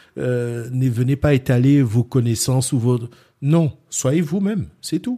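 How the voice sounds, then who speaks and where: A man talks very slowly at a medium pitch in a dark, mellow tone. The recording is very clean, with a silent background. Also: ordinary pitch variation. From France, Centre region. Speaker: boxing club founder. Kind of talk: interview.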